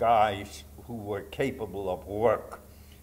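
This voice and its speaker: A fairly low-pitched man with audible room echo. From Poland, Warsaw. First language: Polish. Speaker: Holocaust survivor speaker. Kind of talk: testimony.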